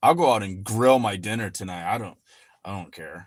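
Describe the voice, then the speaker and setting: A man with an unremarkable speaking voice talks at a moderate pace in a very clean recording with a silent background. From Michigan. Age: 40s. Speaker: finance YouTuber and farmer. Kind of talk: livestream chat. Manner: casual, rambling with fillers.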